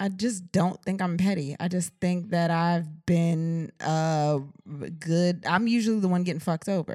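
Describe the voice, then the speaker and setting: A woman's plain, everyday voice, fairly low in pitch, with an American accent at a moderate pace. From Washington DC area. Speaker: podcast co-host. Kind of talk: casual chat.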